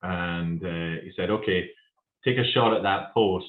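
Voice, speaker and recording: Speaking with a Scottish accent, a man uses fairly even intonation at a very deep, low pitch. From Scotland. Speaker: company founder. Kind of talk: casual interview. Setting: video podcast. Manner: halting.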